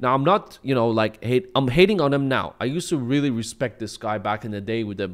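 A man at a medium pitch, very fast pace, quiet background. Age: 20s. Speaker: YouTube commentator. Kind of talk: commentary video. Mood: critical, mocking. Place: home room. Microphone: studio mic.

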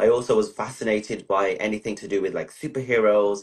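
Over a quiet background, a man with a fairly low pitch talks at a fairly quick pace. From England. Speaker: interviewee. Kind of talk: casual interview. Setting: video call. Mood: relaxed, personal storytelling. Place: home room. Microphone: video call.

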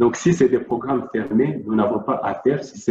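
A man talks with audible room echo around his voice. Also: quiet background. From Democratic Republic of the Congo. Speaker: NGO worker; presenter. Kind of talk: presentation. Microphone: video call.

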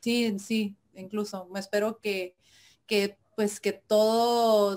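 With fairly even intonation, the woman talks at a medium pitch. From Mexico, Tijuana. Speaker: indie rock musician. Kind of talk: interview. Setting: video call. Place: home room.

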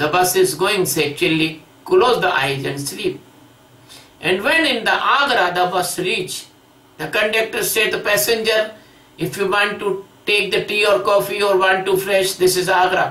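With audible room echo, a raised, projected voice moves at a fairly slow pace with ordinary pitch variation. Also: man. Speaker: spiritual teacher. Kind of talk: lecture. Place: home room.

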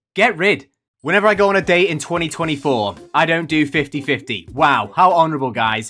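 A man at a fairly quick pace, faint music playing behind him. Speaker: streamer. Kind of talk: casual reaction commentary. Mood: sarcastic, joking. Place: home room.

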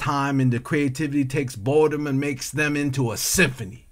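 An unremarkable speaking voice, a man's, fairly high in pitch, fairly even in intonation, at a moderate pace. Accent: American. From California. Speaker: poet and artist. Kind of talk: spoken word poetry, rhythmic and rhyming, reflective and tender. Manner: flowing and lyrical, emotive, cadenced delivery.

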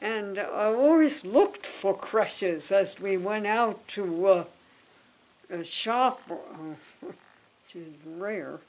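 At a very slow pace, a woman speaks at medium pitch with big swings in loudness. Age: 80s+. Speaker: interviewee. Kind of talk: interview. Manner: halting. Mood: warm reminiscing. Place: home room.

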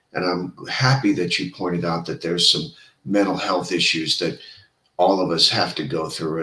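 Audible room echo surrounds speech delivered at a moderate pace with lively intonation. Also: man. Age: old. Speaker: podcast host. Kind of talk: interview; interview host talk. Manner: animated. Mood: warm, friendly. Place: home room. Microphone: earbuds.

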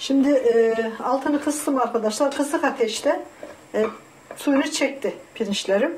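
A woman speaks at a high pitch with ordinary pitch variation over light background noise. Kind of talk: tutorial. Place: kitchen. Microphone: camera far.

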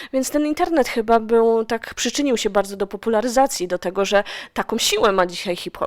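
A woman speaks at a fairly quick pace. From Silesia, Poland. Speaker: radio host. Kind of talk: radio interview.

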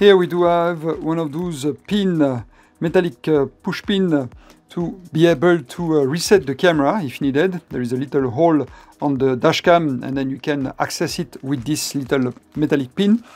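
Faint background music under speech at a moderate pace. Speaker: product reviewer. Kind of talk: unboxing commentary. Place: home room.

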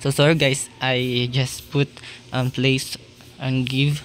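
Against music in the background, a man speaks at a medium pitch with monotone, flat intonation. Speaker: Minecraft YouTuber. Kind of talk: tutorial. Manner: halting, apologetic.

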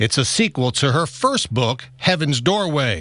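A man talks at a moderate pace in a bright, sharp tone with vocal fry. His pitch swings very widely. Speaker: local TV news reporter. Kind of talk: local TV news report.

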